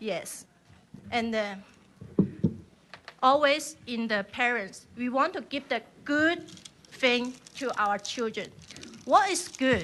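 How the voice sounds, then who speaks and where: A woman with a Chinese accent speaks very slowly in a high voice, with long, frequent pauses and lively intonation. Noticeable background noise is present. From China. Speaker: member of the public testifying. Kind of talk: public testimony. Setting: legislative hearing. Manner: halting.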